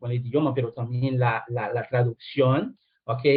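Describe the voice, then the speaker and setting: In a Brazilian accent, a man is speaking. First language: Portuguese (speaking Spanish). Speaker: lecturer. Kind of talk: lecture. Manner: halting, many fillers.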